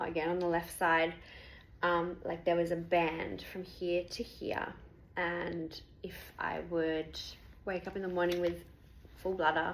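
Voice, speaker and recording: A woman speaks at a fairly low pitch with monotone, flat intonation. Her speech has long, frequent pauses. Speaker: patient sharing health experience. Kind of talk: personal testimony. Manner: fast.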